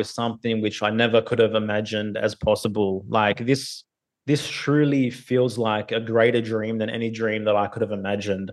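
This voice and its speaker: A man speaks at medium pitch with an Australian accent. His pace is moderate. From Australia (Sydney). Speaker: podcaster and hip-hop artist. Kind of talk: casual interview. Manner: hesitant, many fillers.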